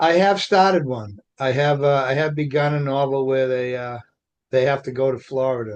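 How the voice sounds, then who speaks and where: With ordinary pitch variation, a man speaks at medium pitch and a moderate pace. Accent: strong Boston. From Revere, Massachusetts. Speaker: author and poet. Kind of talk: podcast interview.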